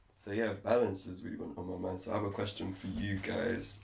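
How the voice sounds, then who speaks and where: Somewhat breathy and fairly low in pitch, a man speaks with fairly even intonation amid audible room echo. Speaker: podcast host. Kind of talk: casual chat. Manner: frequent pauses.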